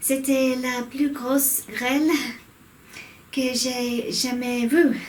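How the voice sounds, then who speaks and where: A woman's high, monotone voice in an English accent, very slow and flat, with audible room echo. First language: English (speaking French). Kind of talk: casual vlog talk. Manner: halting, self-correcting.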